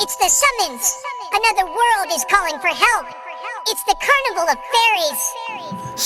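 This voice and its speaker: A put-on character voice at an extremely high pitch and moderate pace, with clear music in the background. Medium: audio drama. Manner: soft, encouraging.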